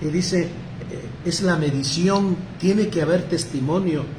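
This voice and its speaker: A man talks high for a man, with ordinary pitch variation. Audible room echo and noticeable background noise fill the recording. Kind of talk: lecture. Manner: halting, many repetitions.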